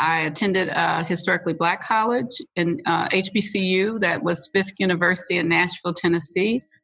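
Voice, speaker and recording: In an American accent, a woman with a plain, everyday voice talks fairly quickly at a fairly low pitch, her intonation fairly even. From Missouri, St. Louis. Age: 60s. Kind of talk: interview.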